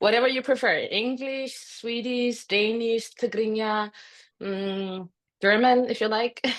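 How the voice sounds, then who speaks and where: A woman's fairly high voice, monotone and flat in intonation, at a fairly slow pace. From Denmark. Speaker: author. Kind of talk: interview.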